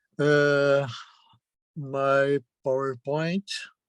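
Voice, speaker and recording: The sound is dry and close, with no echo. A man speaks at a fairly high pitch. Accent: Brazilian Portuguese. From Brazil. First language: Portuguese. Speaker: journalism professor. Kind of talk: lecture. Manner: halting, many fillers.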